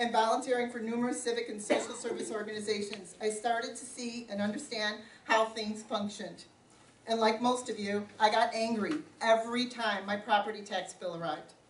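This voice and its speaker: Amid noticeable background noise and audible room echo, a woman talks fairly quickly in a fairly high pitch, her intonation monotone and flat but her loudness swinging widely. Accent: American. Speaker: local politician. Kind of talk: campaign speech. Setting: community forum with audience, no microphone.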